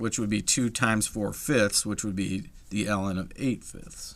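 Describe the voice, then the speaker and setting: A man talks with medium pitch and a bright, sharp tone. The recording is very clean, with a silent background. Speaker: math teacher. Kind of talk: tutorial.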